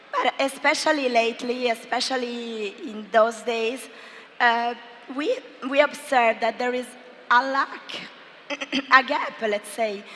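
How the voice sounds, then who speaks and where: A high-pitched woman with long, frequent pauses over noticeable background noise. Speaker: marketing executive. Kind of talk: business presentation.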